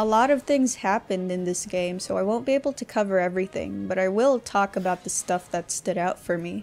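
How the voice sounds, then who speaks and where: A woman with a plain, everyday voice, medium pitch and ordinary pitch variation. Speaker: video game reviewer. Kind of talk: game review voice-over.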